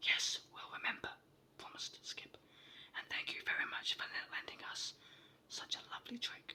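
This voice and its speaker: Someone whispers at a moderate pace with long, frequent pauses. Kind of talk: whispered ASMR storytime book reading. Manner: whispered, soft, relaxing.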